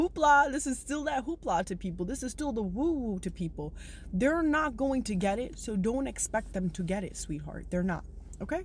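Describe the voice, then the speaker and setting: Her voice fairly high with vocal fry, a woman speaks at a moderate pace in an animated tone, her pitch swinging very widely. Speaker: spiritual self-help vlogger. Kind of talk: motivational monologue to viewers.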